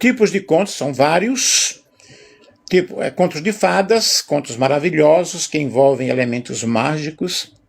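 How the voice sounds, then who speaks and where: Speaking at a fairly slow pace, this is an unremarkable speaking voice with lively intonation. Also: man, fairly high pitch for a man. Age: 60s. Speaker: teacher. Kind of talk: lecture. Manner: casual, conversational.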